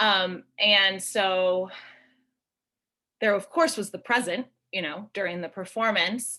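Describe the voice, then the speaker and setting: On a very clean recording with a silent background, a woman speaks very slowly at medium pitch in a bright, sharp tone, with ordinary pitch variation and long, frequent pauses. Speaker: choreographer. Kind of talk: panel discussion. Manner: rambling, hesitant with fillers.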